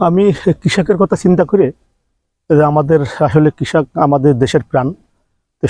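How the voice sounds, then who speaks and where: A man talks in a normal speaking voice, fairly high in pitch, with ordinary pitch variation and very even loudness. The sound is dry and close, with no echo. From Bangladesh, Jhenaidah. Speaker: humanitarian volunteer. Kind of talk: interview.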